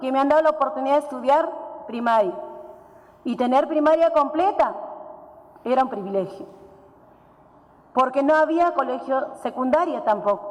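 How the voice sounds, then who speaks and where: In an Andean accent, a woman speaks at a moderate pace with long, frequent pauses. The room has an audible echo, and there is noticeable background noise. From Peru, Puno region (Huancané, Aymara highlands). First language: Aymara (speaking Spanish). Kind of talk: conference talk. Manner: halting.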